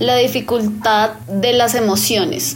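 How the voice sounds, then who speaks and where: Music plays in the background. A woman speaks at medium pitch. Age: 30s. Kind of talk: personal testimony interview.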